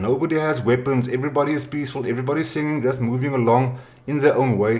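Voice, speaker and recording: At a moderate pace, a man with a South African accent speaks at a medium pitch. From South Africa, Western Cape. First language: Afrikaans. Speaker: podcast host. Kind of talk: casual interview.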